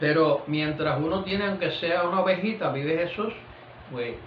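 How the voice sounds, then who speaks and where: A man talks at a moderate pace. The recording has audible room echo and noticeable background noise. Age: 70s. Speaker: pastor. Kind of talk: sermon. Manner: repeats 'vive Jesús' constantly; halting with fillers.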